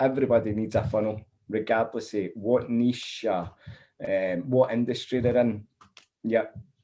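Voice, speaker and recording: A man in a Scottish accent speaks at medium pitch and a moderate pace with monotone, flat intonation. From Scotland. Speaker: funnel builder. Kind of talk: interview.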